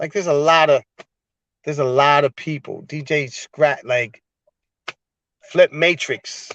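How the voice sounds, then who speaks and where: Pausing long and often, a man with a New Bedford accent speaks at a fairly high pitch, the sound dry and close with no echo. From New Bedford, Massachusetts. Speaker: music producer. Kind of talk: interview. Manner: animated.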